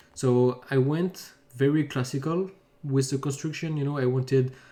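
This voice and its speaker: The speaker has a French accent and talks at a moderate pace. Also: man. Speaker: pen spinner. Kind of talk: video commentary. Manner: halting.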